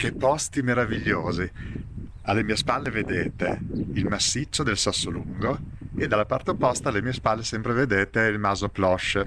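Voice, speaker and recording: With noticeable background noise but a dry sound with no echo, a man speaks at a moderate pace with ordinary pitch variation. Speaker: food show host. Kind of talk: presenter talk to camera. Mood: cheerful, enthusiastic. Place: open country. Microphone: phone near.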